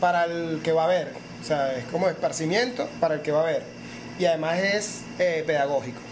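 A man with a Venezuelan accent at a fairly quick pace, ordinary pitch variation, audible room echo and noticeable background noise. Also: fairly high pitch for a man. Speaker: podcast host. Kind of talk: casual chat.

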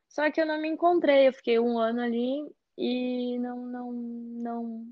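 A woman's high voice with a Gaúcho Brazilian accent, ordinary pitch variation, and a fairly slow pace. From southern Brazil, Porto Alegre. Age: young. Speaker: chef. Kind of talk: casual interview.

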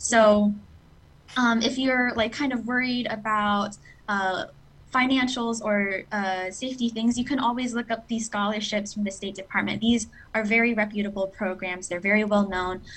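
A woman with a normal speaking voice, fairly high in pitch, in an American accent, at a moderate pace with fairly even intonation. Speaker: scholarship recipient, English teacher. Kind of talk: interview.

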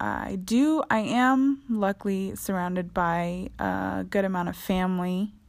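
A woman's unremarkable speaking voice at medium pitch, fairly slow with hardly any pauses, ordinary pitch variation, on a very clean recording with a silent background. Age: 20s. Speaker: podcast host. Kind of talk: solo podcast monologue. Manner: casual, frequent laughter.

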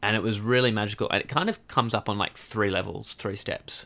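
A man speaks with an Australian accent in a bright, sharp tone and fairly even intonation. The recording is very clean with a silent background. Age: 20s. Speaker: outdoor adventurer and river paddler. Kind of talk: interview storytelling. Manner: hesitant, many fillers.

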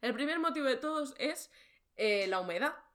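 Recorded very cleanly against a silent background, a woman talks at a fairly quick pace with lively intonation. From Barcelona, Spain. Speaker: podcast host, freelance creator. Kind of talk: casual chat.

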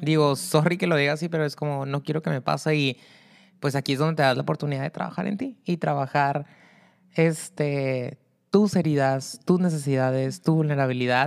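Very deep and low in pitch, a woman speaks at a moderate pace with ordinary pitch variation. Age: 30s. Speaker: podcast co-host, therapist. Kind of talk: casual chat. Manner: animated.

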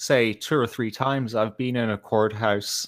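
In an Irish accent, a man of medium pitch speaks at a fairly slow pace with ordinary pitch variation. The recording is very clean, with a silent background. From Ireland. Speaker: podcast guest. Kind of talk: casual chat.

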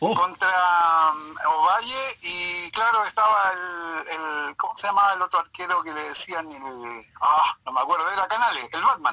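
Speaking at a fairly slow pace, the man has a high pitch. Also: lively intonation. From Chile, Lota mining area. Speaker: retired football goalkeeper. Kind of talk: phone interview reminiscing. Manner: halting, many repetitions.

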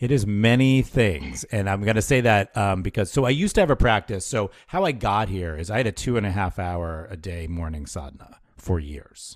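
A man with an ordinary speaking voice talks at a moderate pace with hardly any pauses and a fairly low pitch. The recording is very clean, with a silent background. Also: lively intonation. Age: 50s. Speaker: yoga therapist. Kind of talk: interview conversation.

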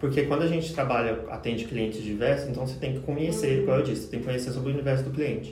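With audible room echo and noticeable background noise, a man's medium-pitched voice holds a fairly even intonation. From Goiás interior, Brazil. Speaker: social media professional. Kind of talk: casual chat.

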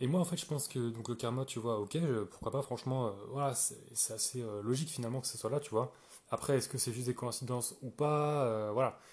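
At a fairly quick pace, a man with a medium pitch speaks in a somewhat breathy voice with fairly even intonation. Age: 20s. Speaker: podcaster. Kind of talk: casual monologue. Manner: hesitant, many fillers.

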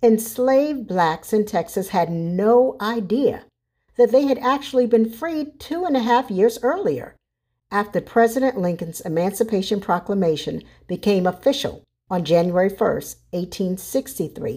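A woman with an American accent and an ordinary speaking voice talks at a moderate pace, with a fairly high pitch and lively intonation. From US South, South Carolina (Charleston). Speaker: nonprofit executive. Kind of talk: scripted commentary.

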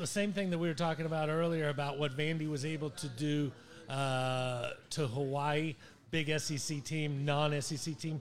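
At a moderate pace, a man with an American accent speaks in an ordinary speaking voice with a fairly high pitch. His intonation is fairly even, and the recording is very clean with a silent background. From Ohio. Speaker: sports talk co-host. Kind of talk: casual chat.

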